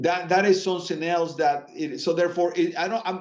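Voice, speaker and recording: A man with a Spanish accent speaks in a high voice at a moderate pace, keeping his intonation fairly even. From Latin America. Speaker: finance executive. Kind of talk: interview conversation. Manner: hesitant, many fillers and repetitions.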